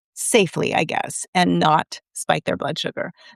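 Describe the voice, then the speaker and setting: Vocal fry runs through a woman's speech at a fairly slow pace. The sound is dry and close with no echo, on a very clean recording with a silent background. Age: 50s. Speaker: recipe developer. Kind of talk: casual chat. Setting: live stream.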